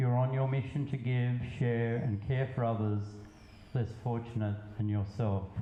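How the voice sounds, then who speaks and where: Against noticeable background noise, a man talks very slowly at medium pitch with fairly even intonation. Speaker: poet. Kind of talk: poetry reading.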